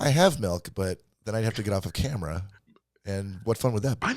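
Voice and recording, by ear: At a fairly quick pace, a man with a Michigan accent speaks at a fairly low pitch with ordinary pitch variation.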